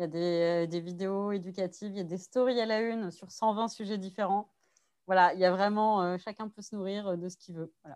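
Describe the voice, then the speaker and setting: With an unremarkable speaking voice, a woman talks at a moderate pace and medium pitch, her intonation fairly even and her loudness swinging widely. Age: 30s. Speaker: sex educator. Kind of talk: casual interview.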